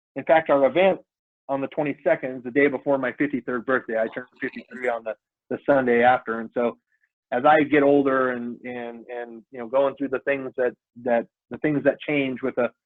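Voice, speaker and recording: A man with an American accent talks at a fairly quick pace and with fairly even intonation. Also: medium pitch for a man, big swings in loudness. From North Idaho. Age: 50s. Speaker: bicycle nonprofit founder. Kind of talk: interview. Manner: halting, many repeated words.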